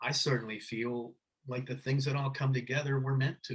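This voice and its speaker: This man speaks moderately fast, his medium-pitched voice somewhat breathy. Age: 60s. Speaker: screenwriter and novelist. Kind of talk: interview conversation. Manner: halting, many repetitions and fillers.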